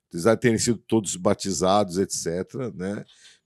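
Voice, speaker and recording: In a quiet background, a man speaks at a fairly slow pace with a fairly low pitch and ordinary pitch variation. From São Paulo, Brazil. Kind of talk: interview. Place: studio. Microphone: studio mic.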